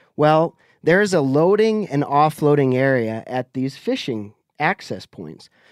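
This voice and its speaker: Dry and close with no echo, in a very clean recording with a silent background, a man with a normal speaking voice and a fairly high pitch speaks with lively intonation. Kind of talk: casual chat.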